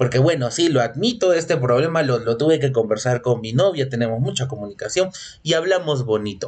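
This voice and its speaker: Somewhat breathy and at a fairly quick pace, a man with a medium-pitched voice speaks with lively intonation. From Peru. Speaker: podcast host. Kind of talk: casual solo monologue. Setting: home recording. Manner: animated, repetitive.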